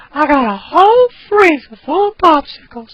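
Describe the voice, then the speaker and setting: Breathy and high-pitched, this put-on character voice moves through very wide pitch swings. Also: moderate pace. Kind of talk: high breathy voice.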